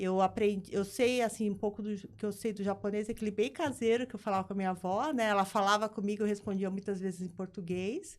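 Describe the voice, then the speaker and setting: A woman at a medium pitch, very fast with hardly any pauses, fairly even intonation, on a very clean recording with a silent background. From Brazil, São Paulo city. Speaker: business founder and board advisor. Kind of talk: interview.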